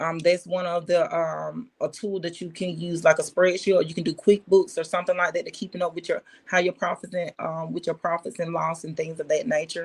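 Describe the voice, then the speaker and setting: Speaking at a fairly quick pace with hardly any pauses, a woman holds a monotone, flat intonation at a fairly low pitch. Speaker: business consultant. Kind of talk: livestream tutorial. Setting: livestream. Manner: halting, many fillers.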